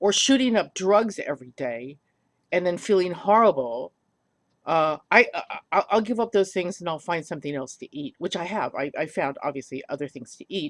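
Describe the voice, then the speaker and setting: A woman's fairly low voice at a moderate pace, with very wide pitch swings and big swings in loudness, in a dry, close sound with no echo. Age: 70s. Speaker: polymer clay tutorial maker. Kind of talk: casual video update. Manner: halting, many fillers.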